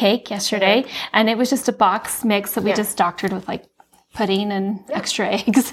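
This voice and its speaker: An American accent colors this woman's fairly high-pitched voice. It is an ordinary speaking voice, delivered at a fairly quick pace. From Utah. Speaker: former political staffer. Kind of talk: casual chat.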